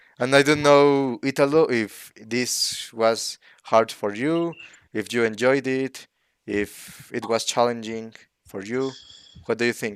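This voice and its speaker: Speaking at a very slow pace with a Spanish accent, a man keeps a medium pitch and fairly even intonation. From Mexico. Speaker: channel host. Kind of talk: casual online discussion. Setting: live online stream. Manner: halting, searching for words.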